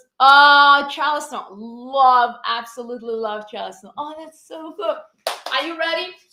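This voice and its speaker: Raised, projected voice with a bright, sharp tone, ordinary pitch variation, and a moderate pace. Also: woman. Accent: Brazilian. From Brazil. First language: Portuguese. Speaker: fitness instructor. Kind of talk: live-stream fitness class talk. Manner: animated.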